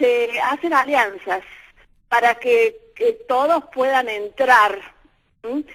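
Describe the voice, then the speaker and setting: A woman speaks at a very slow pace with long, frequent pauses. Her pitch is high. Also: ordinary pitch variation. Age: 70s. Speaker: radio caller. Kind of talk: radio call-in.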